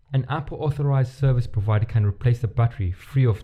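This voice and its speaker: A man speaks at a fairly quick pace with ordinary pitch variation. His voice is somewhat breathy. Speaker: podcast co-host. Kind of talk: casual chat. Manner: halting.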